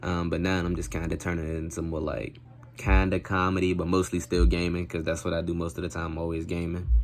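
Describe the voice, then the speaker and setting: The voice is quiet, with fairly even intonation. It moves at a very fast pace. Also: man, very deep, low pitch for a man. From Maryland, US. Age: 20s. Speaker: gaming YouTuber. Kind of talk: self-introduction to camera. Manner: quiet, talking low; casual, slangy.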